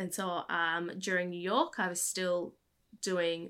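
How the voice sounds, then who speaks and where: An American accent at a fairly slow pace, on a very clean recording with a silent background. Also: woman. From Australia, Brisbane. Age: 30s. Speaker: medical student and nonprofit founder. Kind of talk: interview conversation.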